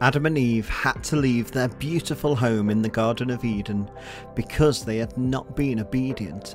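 With music in the background, a man with an English accent speaks at a fairly slow pace and medium pitch, with ordinary pitch variation. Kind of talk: children's story narration.

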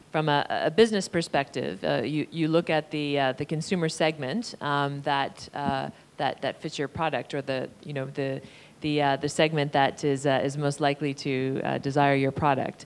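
Here a woman speaks at a very deep, low pitch. Her intonation is fairly even, at a moderate pace. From Canada. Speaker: panel moderator. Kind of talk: moderated panel discussion. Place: hall. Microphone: handheld.

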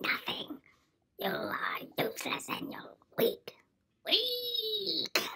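A cartoonish character voice whispers at a very slow pace. Long, frequent pauses break up the speech. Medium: puppet. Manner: mocking, insulting.

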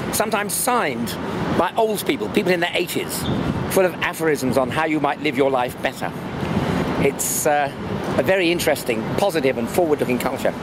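With loud noise in the background, a man speaks fairly quickly. No echo colors the dry recording. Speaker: travel vlogger. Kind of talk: casual vlog commentary. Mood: curious, opinionated. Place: street. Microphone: phone near.

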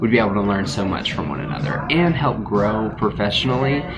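Over clear background music, a man speaks at a fairly quick pace. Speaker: nurse vlogger. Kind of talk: casual vlog chat. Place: home room.

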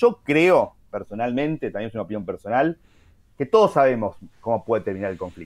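Pitch swinging very widely, a man gets through his words at a fairly quick pace. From Argentina. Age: 40s. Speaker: journalist and writer; journalist. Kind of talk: interview. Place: home room. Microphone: video call.

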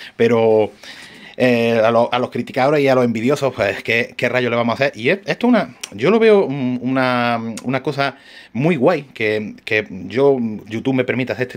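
The man has a medium pitch that varies in an ordinary way. He delivers his words at a fairly quick pace. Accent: Andalusian. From Andalusia, Spain. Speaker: RC hobby shop owner and YouTuber; YouTuber. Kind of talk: casual vlog talk to camera. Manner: hesitant, many fillers and restarts. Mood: relaxed, slightly defensive. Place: workshop. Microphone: phone near.

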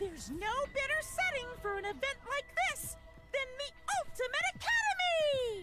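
Pitched extremely high, the put-on character voice keeps a moderate pace. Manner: gleeful, theatrical.

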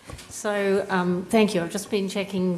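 Over noticeable background noise, a woman speaks with monotone, flat intonation. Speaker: panel moderator. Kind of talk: moderated Q&A. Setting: stage with audience.

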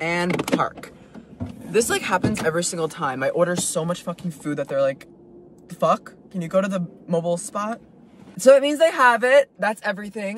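Over noticeable background noise, a man talks at a fairly quick pace with lively intonation, and the sound is dry with no echo. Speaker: food vlogger. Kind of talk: casual vlog chat. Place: car. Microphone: phone near.

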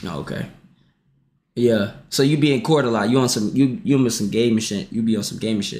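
The man's delivery moves at a fairly quick pace. Ordinary variation shows in his pitch. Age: 20s. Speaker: livestreamer. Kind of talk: casual livestream chat. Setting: livestream with Discord call. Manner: animated. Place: home room.

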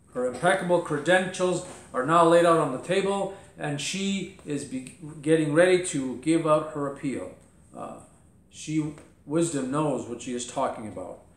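Amid audible room echo, a man talks at a moderate pace with long, frequent pauses, ordinary pitch variation and big swings in loudness. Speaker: pastor teaching a Bible lesson. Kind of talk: sermon. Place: home room.

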